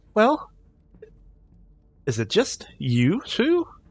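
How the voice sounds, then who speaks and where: This man is doing a put-on character voice. His pitch sits high. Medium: actual play. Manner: polite but menacing.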